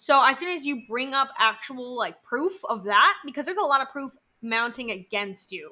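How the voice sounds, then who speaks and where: In a raised, projected voice, a woman speaks at a moderate pace with a high pitch. Her tone is animated and her intonation lively. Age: 20s. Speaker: podcast co-host. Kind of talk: casual chat.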